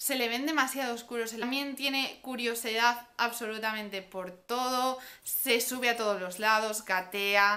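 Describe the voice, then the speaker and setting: Bright and sharp in tone, a woman's fairly high voice moves at a fairly slow pace with fairly even intonation and hardly any pauses. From Spain. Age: 20s. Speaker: parenting vlogger. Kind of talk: vlog monologue. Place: home room. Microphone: camera far.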